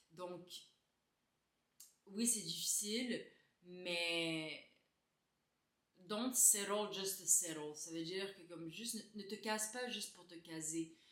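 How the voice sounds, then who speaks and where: In a room with audible echo, a woman with a bright, sharp tone speaks at a very slow pace and medium pitch, with ordinary pitch variation, big swings in loudness and long, frequent pauses. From Quebec, Laval (Montreal area). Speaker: beauty YouTuber. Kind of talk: casual Q&A chat to camera. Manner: hesitant, many euh fillers.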